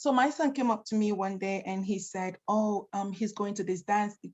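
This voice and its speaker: A woman speaks at a fairly high pitch, with ordinary pitch variation and a somewhat breathy quality. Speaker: domestic violence educator. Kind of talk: virtual presentation. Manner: fast.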